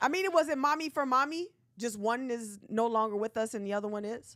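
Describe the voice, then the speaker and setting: A woman speaks loudly and with energy at a fairly quick pace, her fairly high voice swinging very widely in pitch. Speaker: podcast co-host. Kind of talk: casual chat. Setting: livestream. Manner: energetic.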